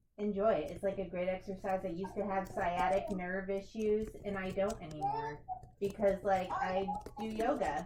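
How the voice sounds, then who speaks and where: With noticeable background noise and audible room echo, a woman with an American accent speaks at a moderate pace with ordinary pitch variation. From US, Kentucky. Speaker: yoga instructor. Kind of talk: casual chat.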